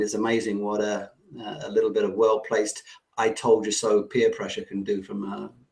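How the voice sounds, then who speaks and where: Fairly quick and fairly even in intonation, a man speaks with an English accent. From England. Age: 50s. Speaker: online business coach. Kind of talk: webinar presentation. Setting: online webinar.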